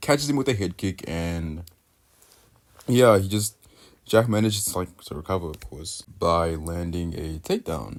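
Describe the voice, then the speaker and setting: A man's very deep, low voice with lively intonation, big swings in loudness, and a moderate pace. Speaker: MMA YouTuber. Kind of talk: fight analysis voiceover. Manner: halting, with pauses and stutters; casual.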